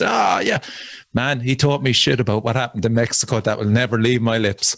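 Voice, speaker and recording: In a Cork accent, a man at a medium pitch talks at a fairly quick pace. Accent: Cork Irish. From Ireland, Cork. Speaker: death metal musician. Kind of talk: casual chat.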